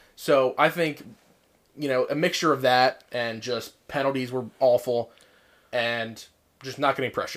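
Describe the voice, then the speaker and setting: An American accent in a very clean recording with a silent background. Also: man. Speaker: sports podcast co-host. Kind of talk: casual sports chat.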